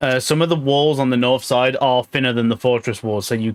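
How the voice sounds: What you hear is a natural reading voice.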